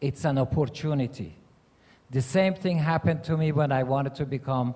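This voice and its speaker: A man with a Persian accent speaks at a moderate pace in a fairly high pitch, with ordinary pitch variation. His tone is dark and mellow and somewhat breathy. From Iran. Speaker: mayor and panelist. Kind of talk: panel remarks.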